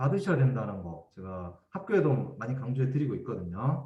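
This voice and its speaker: A man's somewhat breathy, medium-pitched voice with very wide pitch swings and audible room echo. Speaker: education official giving training. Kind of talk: training lecture.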